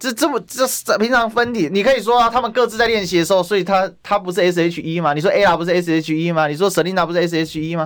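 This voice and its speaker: A high-pitched man talks very fast in an animated tone, with hardly any pauses and ordinary pitch variation. The recording is very clean, with a silent background. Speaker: radio talk show host. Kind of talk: political talk radio chat. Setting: radio studio.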